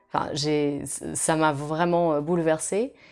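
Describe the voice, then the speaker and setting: A woman speaks with a Portuguese accent. Her intonation stays monotone and flat. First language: Portuguese (speaking French). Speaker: opera singer. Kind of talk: interview answers. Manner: hesitant, many fillers.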